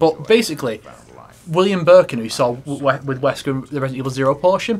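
A normal speaking voice from a man, fairly high in pitch. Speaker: gaming video host. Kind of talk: casual chat while playing a video game. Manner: casual, jokey, frequent laughing and swearing.

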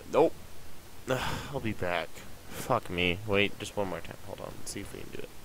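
Long, frequent pauses break up a moderate pace. The sound is dry with no echo, over light background noise. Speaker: gaming channel host. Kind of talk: gameplay commentary.

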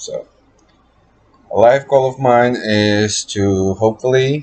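The man speaks with fairly even intonation. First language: Spanish heritage, bilingual. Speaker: college student. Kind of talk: class introduction video. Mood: relaxed, slightly awkward. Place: home room. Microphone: webcam.

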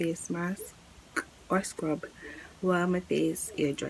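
A woman talks with fairly even intonation. Light background noise is present. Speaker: beauty vlogger. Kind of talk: tutorial. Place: home room. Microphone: phone near.

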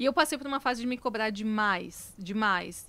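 This is a woman's voice. Her pitch is fairly high, with ordinary variation. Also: dry sound with no echo. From Santa Catarina, Brazil (Lages); Santa Catarina, Brazil. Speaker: founder of a cosmetics brand; podcast guest. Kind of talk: casual interview chat. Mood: reflective, warm. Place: studio. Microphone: studio mic.

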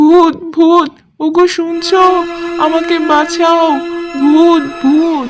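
A put-on character voice, extremely high in pitch, very slow, with monotone, flat intonation. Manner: screaming in fright.

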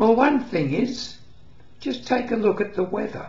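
The room echo is audible. A man's voice is heard within it. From England. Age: 80s+. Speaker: retiree. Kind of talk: casual talk to camera. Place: home room. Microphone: webcam.

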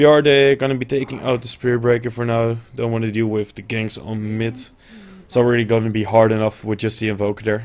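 Monotone, flat intonation at a fairly quick pace. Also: man, medium pitch for a man. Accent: Dutch. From Netherlands. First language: Dutch. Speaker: esports caster. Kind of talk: live commentary.

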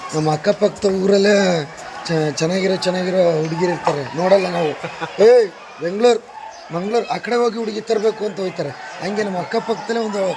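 A man talks in a high voice. Noticeable noise runs in the background. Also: ordinary pitch variation. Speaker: comedian and travel vlogger. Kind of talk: casual travel vlog.

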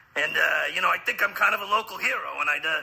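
A man's bright, sharp voice with vocal fry at a very fast pace

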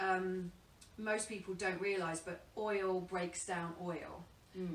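Very slow, monotone speech from a woman at a fairly low pitch, with flat intonation, light background noise and audible room echo. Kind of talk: interview answer. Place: home room. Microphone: camera far.

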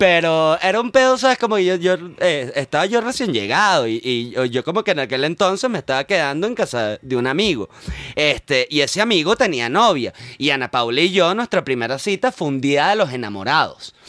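Fairly high in pitch, a man talks at a fairly quick pace with very wide pitch swings and a bright, sharp tone, in a dry sound with no echo over a quiet background. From Venezuela. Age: 40s. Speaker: comedian and scriptwriter; comedian. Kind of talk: casual chat. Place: studio. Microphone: studio mic.

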